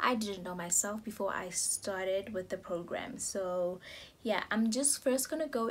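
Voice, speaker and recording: A woman speaks at a fairly slow pace in a somewhat breathy, medium-pitched voice with ordinary pitch variation. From South Africa. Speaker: vlogger. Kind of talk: casual vlog explainer. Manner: halting, many fillers.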